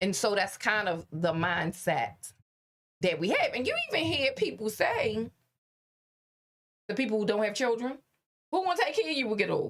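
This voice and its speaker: A woman with a fairly high voice talks at a moderate pace, making very wide pitch swings and long, frequent pauses. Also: very even loudness. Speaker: podcast co-host. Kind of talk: casual chat. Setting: studio. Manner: loud.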